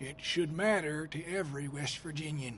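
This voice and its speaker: Over clear background noise, a man puts on a raspy character voice at a fairly high pitch and a moderate pace. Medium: video game. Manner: folksy, teasing.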